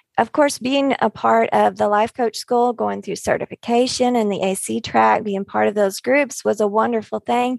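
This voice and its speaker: A woman talks at a moderate pace with hardly any pauses, in a dry, close sound with no echo. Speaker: life coach. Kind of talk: group discussion.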